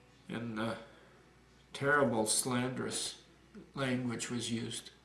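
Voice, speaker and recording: Through noticeable background noise and audible room echo, a man speaks very slowly at a medium pitch with fairly even intonation. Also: long, frequent pauses. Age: 60s. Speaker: retired community activist. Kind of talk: interview. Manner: halting.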